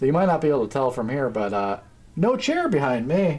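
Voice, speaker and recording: The speaker is a man. He keeps to a moderate pace. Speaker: streamer. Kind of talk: casual live stream tutorial. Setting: home streaming setup at standing desk. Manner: loud at times.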